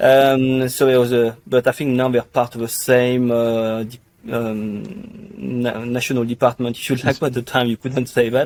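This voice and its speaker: A man with a French accent at a medium pitch, moderate pace and fairly even intonation, with hardly any pauses. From France. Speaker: pharmacy tech industry executive. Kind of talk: podcast interview. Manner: hesitant, many fillers.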